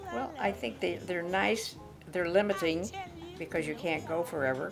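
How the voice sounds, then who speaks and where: Music plays behind a woman speaking at a moderate pace. Her pitch is fairly low and her intonation lively. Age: 80s+. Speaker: retired tennis player. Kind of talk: interview answer.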